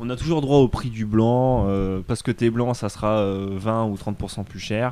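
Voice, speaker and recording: This man's tone is dark and mellow. His words come at a very slow pace. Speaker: freelancer travelling the world. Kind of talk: casual interview. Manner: animated.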